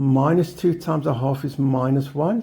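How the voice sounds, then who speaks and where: A man speaks with a dark, mellow tone and vocal fry. His pitch is fairly high, with ordinary variation. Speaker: maths tutor. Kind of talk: tutorial.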